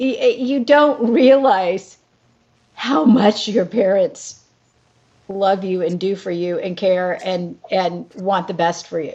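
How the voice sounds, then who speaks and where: This voice comes from a woman. Her pitch moves in very wide swings. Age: 60s. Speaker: actress. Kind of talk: casual chat.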